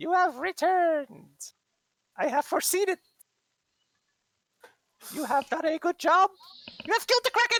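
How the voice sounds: Shrill and extremely high-pitched, a put-on character voice moves at a moderate pace with long, frequent pauses.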